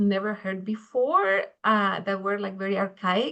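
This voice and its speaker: A woman speaks at a moderate pace with a Spanish accent. Her pitch sits in the middle range. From Mexico. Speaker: engineering education researcher. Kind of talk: panel discussion.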